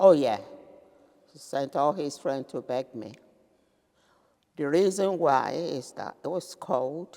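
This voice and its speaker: At a very slow pace, a woman speaks with a very deep, low pitch and a dark, mellow tone, leaving long, frequent pauses and making big swings in loudness. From Nigeria. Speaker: retired businesswoman. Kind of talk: interview answer.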